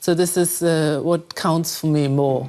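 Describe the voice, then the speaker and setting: Here a woman speaks with a German accent at a moderate pace. Her pitch is fairly low and her tone dark and mellow. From Germany. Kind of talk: interview answer.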